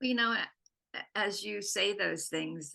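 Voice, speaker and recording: Her bright, sharp tone shows vocal fry as the woman speaks at a moderate pace. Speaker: podcast co-host. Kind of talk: casual conversation.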